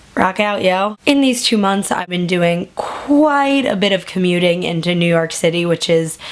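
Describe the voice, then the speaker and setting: Noticeable background noise sits behind a woman speaking at a fairly slow pace. Her pitch is medium, with ordinary variation. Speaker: YouTuber. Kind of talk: casual vlog update. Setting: at home at night.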